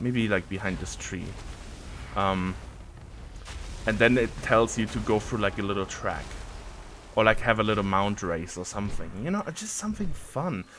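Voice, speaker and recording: A man with a German accent, fairly low in pitch with ordinary variation, at a moderate pace with long, frequent pauses. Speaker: gaming content creator. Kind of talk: casual gameplay ramble. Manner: casual, hesitant with fillers and repeats.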